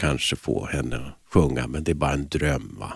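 With vocal fry in his very deep, low voice, a man speaks at a moderate pace. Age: 50s. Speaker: jazz singer. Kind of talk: radio interview.

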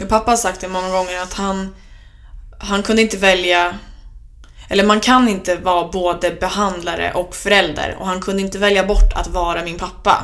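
The intonation is flat and monotone. Words arrive at a medium tempo. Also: woman, medium pitch for a woman. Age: 20s. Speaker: student and podcaster on eating disorders. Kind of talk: interview.

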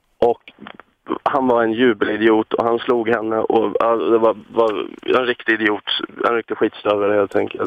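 Loudness stays very even as a man speaks at a moderate pace. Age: 20s. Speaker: caller. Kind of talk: phone-in call.

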